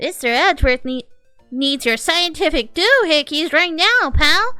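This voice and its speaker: Faint music sits behind a woman's put-on character voice. She keeps a moderate pace. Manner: yelling, impatient, demanding.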